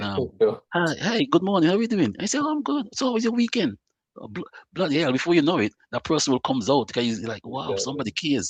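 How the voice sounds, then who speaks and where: In a dry, close recording with no echo, a man speaks very fast at a fairly high pitch, with very wide pitch swings and vocal fry. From Montserrat. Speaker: mental health advocate. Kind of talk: interview answer. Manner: warm, conversational.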